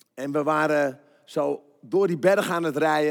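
In an animated tone, a man speaks with a fairly high pitch. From Netherlands, Den Bosch. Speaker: pastor. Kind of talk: sermon. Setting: church.

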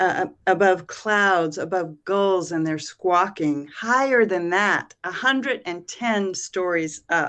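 Speaking very slowly with hardly any pauses, a woman with an American accent keeps a medium pitch with ordinary pitch variation. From Massachusetts. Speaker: poet. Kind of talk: poetry reading.

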